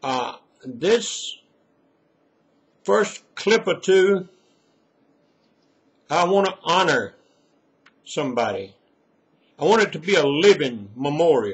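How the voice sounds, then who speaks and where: A man's high-pitched voice with lively intonation at a very slow pace, full of long, frequent pauses. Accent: Mississippi. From Mississippi. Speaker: retired preacher and storyteller. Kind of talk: personal reminiscence. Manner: folksy, unscripted.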